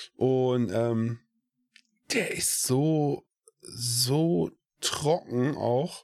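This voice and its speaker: A man with a medium-pitched voice and ordinary pitch variation talks at a very slow pace, with long, frequent pauses. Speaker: podcast co-host. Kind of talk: casual chat.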